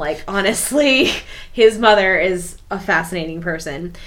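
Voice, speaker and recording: Amid audible room echo, a woman speaks at a fairly slow pace with a fairly low pitch and ordinary pitch variation. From Africa. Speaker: book podcast host. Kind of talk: casual chat.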